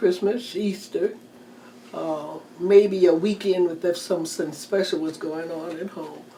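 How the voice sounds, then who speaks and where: A woman with an American accent, fairly low in pitch, with fairly even intonation amid noticeable background noise. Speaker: retired teacher. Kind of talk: oral history interview answer.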